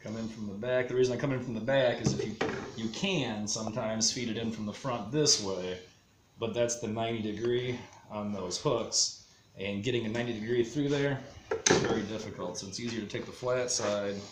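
Noticeable background noise sits beneath a man speaking at a moderate pace. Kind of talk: tutorial. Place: workshop.

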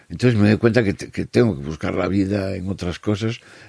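A man speaks in a fairly low pitch with a dark, mellow tone. His pitch varies in an ordinary way. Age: 60s. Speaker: musician and writer. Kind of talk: casual chat.

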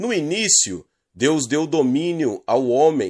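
In a solemn tone, a man with a fairly high voice speaks on a very clean recording with a silent background. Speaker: channel host reading a book aloud. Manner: earnest, solemn, sermon-like cadence with emphatic delivery.

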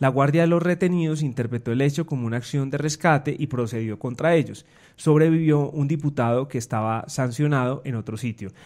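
On a very clean recording with a silent background, a man with a normal speaking voice talks fairly quickly at a fairly high pitch with ordinary pitch variation. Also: hardly any pauses. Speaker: news editor. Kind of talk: news podcast discussion.

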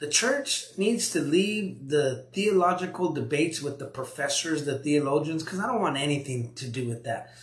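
A man speaks at a moderate pace with a fairly high pitch and lively intonation. Room echo is audible.

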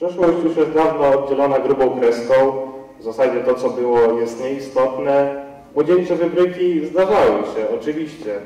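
A man's fairly high voice at a moderate pace, with audible room echo. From eastern Poland. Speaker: media production student. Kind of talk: casting audition. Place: stage.

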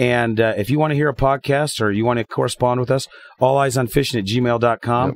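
This man has an ordinary speaking voice with a medium pitch and fairly even intonation. The sound is dry and close, with no echo. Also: fairly quick pace. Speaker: fishing podcast co-host. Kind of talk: casual chat.

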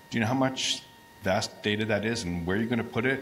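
Noticeable background noise sits behind a man speaking at a very fast pace. His pitch is fairly low, with ordinary variation. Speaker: audience member and academic. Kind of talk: audience Q&A. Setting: audience microphone in a hall.

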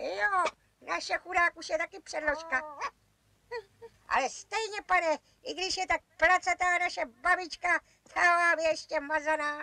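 A cartoonish character voice at an extremely high pitch, with long, frequent pauses. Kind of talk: children's cartoon voice acting. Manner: cheeky, boastful, teasing.

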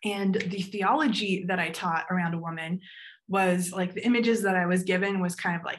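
Over a quiet background, a woman speaks at a moderate pace. Her voice is somewhat breathy, with fairly even intonation. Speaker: panel moderator and graphic designer. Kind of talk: panel discussion. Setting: video call. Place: home room. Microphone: video call.

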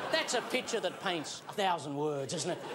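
Light background noise sits behind a man whose pitch swings very widely. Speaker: TV comedy host. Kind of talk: comedy TV monologue. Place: studio. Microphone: lapel.

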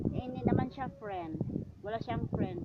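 Noticeable background noise behind a woman's fairly high voice with ordinary pitch variation. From Mindanao, Philippines. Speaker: vlogger. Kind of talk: casual vlog narration. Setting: outdoors. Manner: halting.

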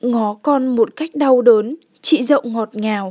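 At a very slow pace, a woman with a high pitch and ordinary pitch variation speaks in a dry, close sound with no echo. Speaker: audiobook narrator. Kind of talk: audiobook reading of a novel.

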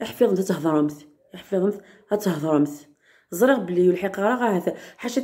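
Dark and mellow in tone, the voice shows ordinary pitch variation against a quiet background. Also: woman. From Algeria. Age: 30s. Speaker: vlogger. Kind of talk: casual vlog talk. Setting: outdoors in courtyard. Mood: upset about a comment. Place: home room. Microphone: phone near.

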